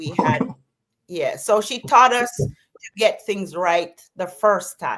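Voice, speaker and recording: A woman with a Jamaican accent speaks very slowly at a medium pitch, her voice swinging very widely up and down. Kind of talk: interview answer.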